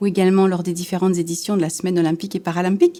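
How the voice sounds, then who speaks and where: The woman speaks in a dark, mellow tone. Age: 40s. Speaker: former Paralympic swimmer. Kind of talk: interview testimony.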